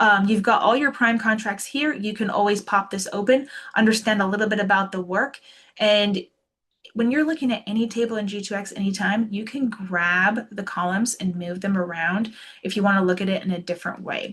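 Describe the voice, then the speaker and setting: A woman talks at a fairly quick pace with a medium pitch. Her pitch varies in an ordinary way. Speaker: software product demonstrator. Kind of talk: webinar product demo. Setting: online webinar. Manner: fast; casual, enthusiastic.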